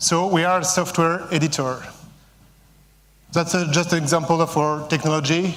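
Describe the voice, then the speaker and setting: A man with a French accent speaks at a fairly slow pace in a fairly high pitch, his intonation monotone and flat, with audible room echo. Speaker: company CEO. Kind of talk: conference talk. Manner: halting, many fillers.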